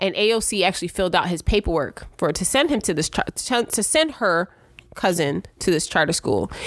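A woman with an American accent speaks at a fairly quick pace, with medium pitch and lively intonation. Hers is a plain, everyday voice. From Brooklyn, New York. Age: 40s. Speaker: state legislator. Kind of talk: casual interview chat.

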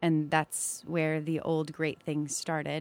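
A woman speaks at a moderate pace in a plain, everyday voice, her pitch fairly low. The recording is very clean and dry, with a silent background and no echo. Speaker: soprano singer. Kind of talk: live radio interview. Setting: studio.

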